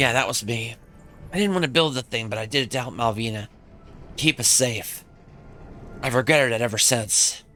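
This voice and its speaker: A man in a put-on character voice sounds shaky, with medium pitch, ordinary pitch variation, a fairly quick pace and long, frequent pauses. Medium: game stream. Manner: nervous, shaky.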